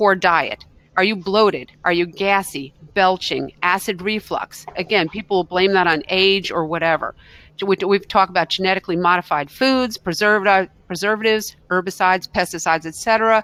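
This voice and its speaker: At a fairly quick pace, a woman speaks at a medium pitch in a bright, sharp tone, the sound dry and close with no echo. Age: 60s. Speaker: naturopathic doctor. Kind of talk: webinar presentation. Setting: online webinar. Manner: animated.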